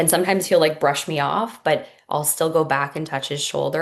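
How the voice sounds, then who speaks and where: Against a quiet background, a woman speaks at a moderate pace. Her voice is very deep and low, with ordinary pitch variation. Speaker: hypnotist and mother. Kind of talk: podcast interview.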